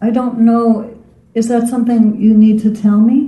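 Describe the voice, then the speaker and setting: This woman's dark, mellow tone comes through somewhat breathy. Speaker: retreat participant.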